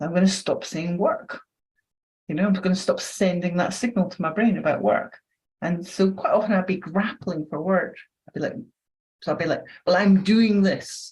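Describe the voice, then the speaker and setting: This woman's voice is somewhat breathy, moving at a moderate pace. She leaves long, frequent pauses. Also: medium pitch for a woman, ordinary pitch variation. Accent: Scottish. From Scotland. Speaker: neuroscience educator and trainer. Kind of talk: podcast interview. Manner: conversational.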